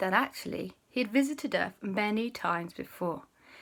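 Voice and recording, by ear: Lively intonation runs through this reading aloud in a natural voice.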